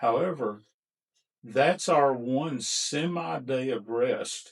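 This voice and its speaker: With an American accent, a man speaks at a very slow pace and medium pitch, his intonation lively. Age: 60s. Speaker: barbecue restaurant owner. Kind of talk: podcast interview.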